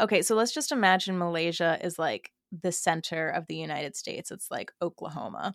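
A woman talks at a fairly quick pace in a fairly low pitch with ordinary pitch variation and vocal fry. The sound is dry and close, with no echo. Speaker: podcaster and gossip creator. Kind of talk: casual podcast chat. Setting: remote recording, online call. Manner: casual, self-deprecating, chatty.

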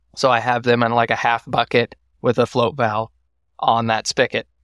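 A man with a Texan accent speaks at a medium pitch. The recording is very clean with a silent background and has a dry, close sound with no echo. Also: very even loudness. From Texas, Waco. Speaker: first-generation cattle farmer. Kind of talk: casual interview.

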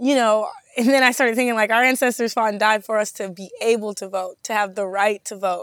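Speaking in an American accent, a woman's voice sits fairly high. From Madison, Wisconsin. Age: 20s. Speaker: grassroots activist. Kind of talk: interview. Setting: studio. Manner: halting, many fillers.

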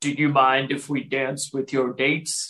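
In a put-on character voice, a man at medium pitch speaks at a moderate pace with monotone, flat intonation. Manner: polite, asking.

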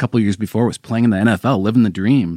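Here is a man with a normal speaking voice and fairly low pitch, in an American accent. The sound is dry and close, with no echo. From US Pacific Northwest, Seattle. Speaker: sports investigative reporter. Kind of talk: podcast interview.

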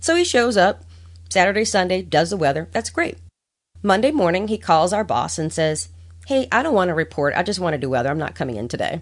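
A woman with an American accent talks at a very fast pace with vocal fry. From New Orleans, US South. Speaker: meteorologist. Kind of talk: casual interview chat.

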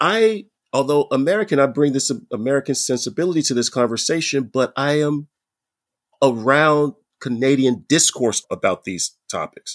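A man with a normal speaking voice and a fairly high pitch talks at a moderate pace with lively intonation, on a very clean recording with a silent background and a dry, close sound with no echo. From United States. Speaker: professor. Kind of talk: panel discussion.

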